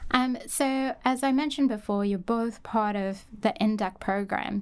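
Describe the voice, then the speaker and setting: A woman speaks in an unremarkable speaking voice with ordinary pitch variation. The recording is very clean, with a silent background. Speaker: podcast host, research coordinator. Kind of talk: podcast interview.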